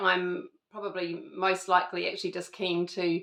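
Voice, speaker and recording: Her delivery comes at a moderate pace. The woman's intonation stays flat and monotone. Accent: New Zealand. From New Zealand. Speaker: lifestyle vlogger. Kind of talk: casual chat. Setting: at home. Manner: hesitant, many fillers.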